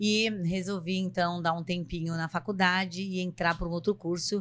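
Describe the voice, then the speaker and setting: A woman at a medium pitch uses a normal speaking voice with ordinary pitch variation. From São Paulo coast, Brazil (São Vicente). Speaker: psychologist and podcast co-host. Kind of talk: casual podcast introduction.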